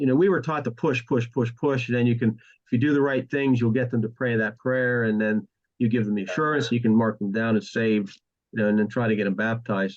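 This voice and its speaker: At a very fast pace, a man talks with a medium pitch, ordinary pitch variation and very even loudness. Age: 60s. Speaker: pastor. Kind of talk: casual interview chat. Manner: halting, many false starts.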